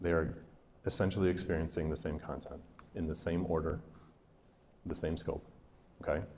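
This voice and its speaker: Audible room echo around a male speaker with a very deep, low pitch. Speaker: school district literacy presenter. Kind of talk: professional development presentation. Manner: fast.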